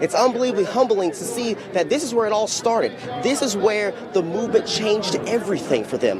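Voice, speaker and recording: Music plays in the background as a man speaks. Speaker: TV news reporter and anchor. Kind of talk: TV news read.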